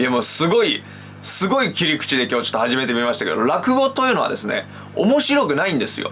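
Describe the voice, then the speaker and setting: A man talks at a very fast pace. Noticeable noise runs in the background. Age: 20s. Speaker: rakugo storyteller. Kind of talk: casual explainer talk to camera.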